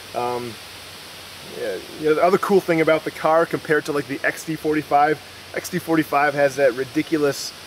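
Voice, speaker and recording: A man with an American accent and a fairly high pitch talks at a fairly quick pace over noticeable background noise. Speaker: firearms reviewer. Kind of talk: product review. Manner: fast; casual, with many fillers.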